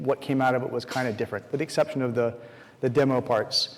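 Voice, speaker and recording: Noticeable background noise sits behind a man of medium pitch talking at a very fast pace. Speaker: conference speaker. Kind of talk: conference talk. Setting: stage with audience.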